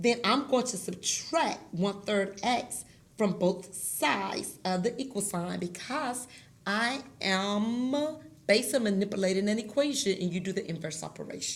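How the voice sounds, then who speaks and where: A woman speaks at medium pitch, somewhat breathy. Her pace is moderate and her pitch varies in an ordinary way. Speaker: math teacher. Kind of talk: tutorial.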